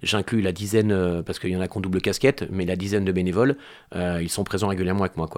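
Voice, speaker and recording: A man with a very deep, low voice talks very fast with fairly even intonation. The recording is very clean, with a silent background. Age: 40s. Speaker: amateur football club president. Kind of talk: interview.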